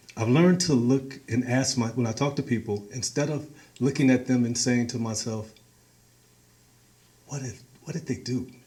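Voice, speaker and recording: This dark, mellow, somewhat breathy voice carries an American accent. It moves at a moderate pace with ordinary pitch variation. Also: man. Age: 60s. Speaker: community organizer. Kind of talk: talk to a meeting.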